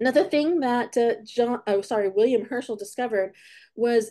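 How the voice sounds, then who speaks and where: A woman's fairly high-pitched voice with a dark, mellow tone, set against a quiet background. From California, US. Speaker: astronomy educator. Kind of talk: online lecture for schools. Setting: online talk. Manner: halting, with self-corrections.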